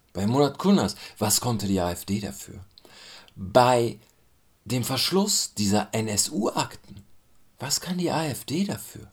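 A man talks at a very slow pace with a fairly low, somewhat breathy voice. His pitch swings very widely, and he leaves long, frequent pauses. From Germany. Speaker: commentator. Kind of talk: spoken commentary.

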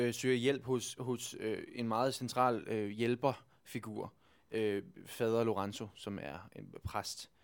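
The recording is very clean, with a silent background. A man speaks at medium pitch, at a very slow pace and with fairly even intonation. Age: 20s. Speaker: stage actor. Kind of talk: interview. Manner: halting.

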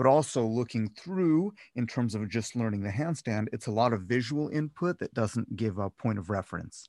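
A man with an American accent speaks at a medium pitch with ordinary pitch variation, recorded dry and close with no echo over a quiet background. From Cleveland, Ohio, US. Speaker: handstand and acrobatics coach. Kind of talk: casual interview. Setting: recording from a closet. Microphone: good microphone, sound-treated room.

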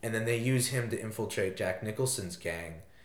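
Over noticeable background noise, a man speaks at medium pitch with an American accent. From US Northeast, southeastern Connecticut. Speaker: college student guest. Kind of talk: casual chat.

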